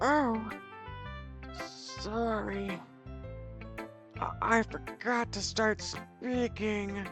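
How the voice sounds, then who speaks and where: A put-on character voice sounds strained and moves at a very slow pace with long, frequent pauses. Clear music plays in the background. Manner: strained, awkward put-on character voice.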